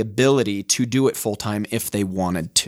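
On a very clean recording with a silent background, a man speaks with a Utah accent. His intonation is lively and his pace moderate. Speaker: life coach. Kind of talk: casual interview chat. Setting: studio.

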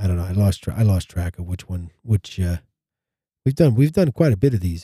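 A somewhat breathy man speaks very fast at a fairly low pitch. His pitch varies in an ordinary way, and the sound is dry and close with no echo. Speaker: podcast host. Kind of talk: casual chat. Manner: rambling, filler words.

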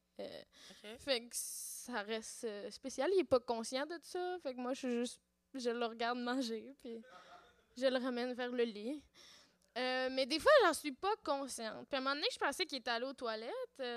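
Her loudness swinging widely, a woman talks in a high voice with ordinary pitch variation. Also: moderate pace. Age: 30s. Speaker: podcaster. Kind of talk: casual chat. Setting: stage with audience.

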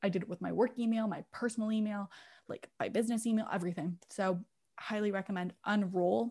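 On a very clean recording with a silent background, a woman speaks somewhat breathily at a medium pitch with fairly even intonation. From England. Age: 20s. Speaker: podcast co-host. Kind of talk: casual chat.

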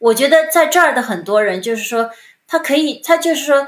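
A woman's moderately paced speech, recorded very cleanly against a silent background. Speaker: former advertising executive. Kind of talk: interview. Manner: halting.

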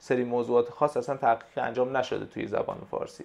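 A man is talking. His pace is very fast. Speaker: Persian and English language teacher and translator. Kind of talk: interview.

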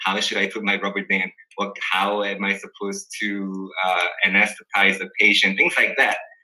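At a moderate pace, a man talks with a Korean accent. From South Korea. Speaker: dental resident. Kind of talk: casual interview. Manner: halting, many fillers.

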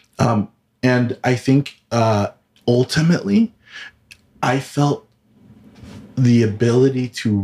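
With a Californian accent, a man talks using ordinary pitch variation. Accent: Californian American English. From Southern California, Filipino American. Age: 30s. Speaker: communications and PR professional. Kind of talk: personal testimony in casual chat. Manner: halting, frequent repetitions.

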